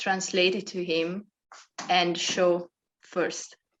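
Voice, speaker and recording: A woman's fairly low voice with a non-native accent, very slow and fairly even in intonation. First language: not English. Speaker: dance workshop participant. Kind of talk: group discussion. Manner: hesitant, many fillers.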